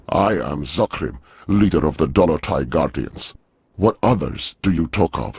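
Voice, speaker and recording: In a put-on character voice, a man talks at a moderate pace and a very deep, low pitch. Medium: video game. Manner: formal, stilted grammar.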